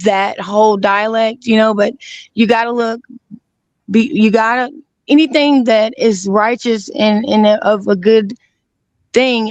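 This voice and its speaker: A woman with an Alabama accent speaks at a fairly high pitch with ordinary pitch variation. Her loudness is very even, and she leaves long, frequent pauses. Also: fairly slow pace. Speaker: guest. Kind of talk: casual chat. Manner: halting.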